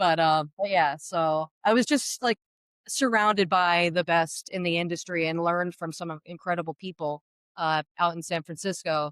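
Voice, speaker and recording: A woman with an American accent, fairly low in pitch, at a moderate pace with ordinary pitch variation, in a very clean recording with a silent background and a dry, close sound with no echo. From New Jersey, Sussex County. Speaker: baker and pizzeria owner. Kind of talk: interview storytelling. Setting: inside a diner. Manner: animated, conversational with many fillers.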